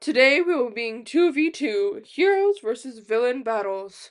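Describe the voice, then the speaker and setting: A woman puts on a character voice with a high pitch. She speaks at a moderate pace over a quiet background. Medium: read story. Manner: loud, announcing.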